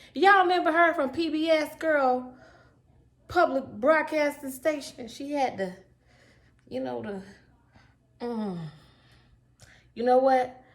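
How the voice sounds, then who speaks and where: A woman with a Southern US accent speaks at a fairly slow pace in a high pitch, with an animated tone, lively intonation, big swings in loudness, and long, frequent pauses. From US South. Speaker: cooking youtuber. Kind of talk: cooking tutorial. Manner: animated, chatty.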